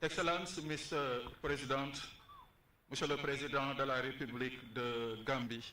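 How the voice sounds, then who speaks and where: At a moderate pace, a man with fairly high pitch speaks in very even loudness and fairly even intonation, with audible room echo. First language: French or Wolof. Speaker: university official. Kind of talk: formal speech.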